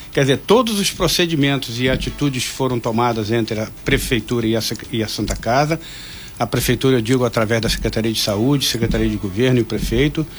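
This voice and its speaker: A man speaks fairly quickly. Noticeable background noise sits behind him. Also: medium pitch for a man, ordinary pitch variation. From Angra dos Reis, Rio de Janeiro state, Brazil. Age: 60s. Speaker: hospital administrator. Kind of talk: radio interview. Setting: radio studio. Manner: halting.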